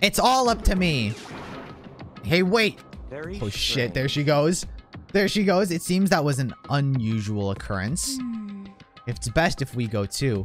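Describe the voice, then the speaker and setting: Faint music plays in the background. Over it, a man speaks at a fairly slow pace. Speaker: gaming streamer. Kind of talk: let's play commentary and reading game text aloud. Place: home room. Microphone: studio mic.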